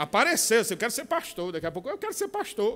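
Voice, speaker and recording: A man talks at a fairly quick pace. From São Paulo, Brazil. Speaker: pastor and military chaplain. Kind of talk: conference talk.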